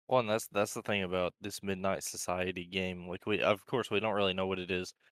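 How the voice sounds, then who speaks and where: A man at a fairly quick pace and fairly low pitch, bright, sharp tone, dry, close sound with no echo, very clean recording and silent background. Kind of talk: casual chat. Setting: live stream.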